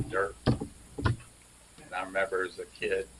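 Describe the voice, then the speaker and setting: A man speaks against noticeable background noise. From Clearwater, Florida. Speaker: retired fishing charter captain. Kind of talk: oral history interview. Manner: rambling conversational.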